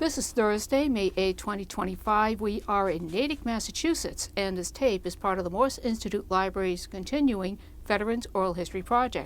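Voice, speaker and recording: With a normal speaking voice at a medium pitch, a woman talks at a fairly quick pace with ordinary pitch variation and hardly any pauses. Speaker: oral history interviewer. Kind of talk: interview questions.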